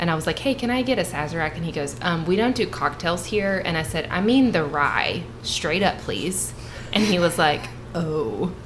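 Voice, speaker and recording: A woman with a Southern Kentucky accent speaks at a moderate pace, her fairly low pitch making very wide swings. Noticeable background noise is present. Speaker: bourbon tasting guest. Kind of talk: casual chat.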